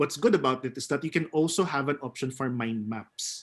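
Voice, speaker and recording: A man with a Filipino accent and lively intonation. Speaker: theater actor and webinar speaker. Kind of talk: webinar presentation.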